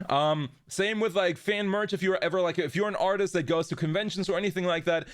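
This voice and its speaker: A man speaks with a German accent at a high pitch. His pitch variation is ordinary. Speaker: VTuber streamer. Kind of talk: casual live stream chat. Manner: lower energy than usual.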